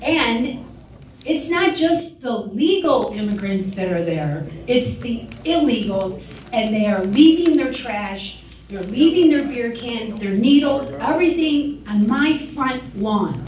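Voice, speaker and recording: A woman with an American accent talks at a very slow pace in a high pitch with very wide swings, with audible room echo and noticeable background noise. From Joliet, Illinois (East Side). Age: 60s. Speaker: public commenter at township meeting. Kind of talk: public comment speech.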